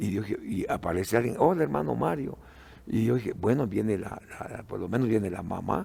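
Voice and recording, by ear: A man speaks at a moderate pace with a fairly low pitch and a dark, mellow tone. His intonation is lively, with some vocal fry.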